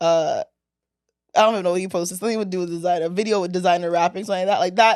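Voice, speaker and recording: Her pitch is medium for a woman. The intonation stays fairly even. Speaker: podcast host. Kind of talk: casual chat.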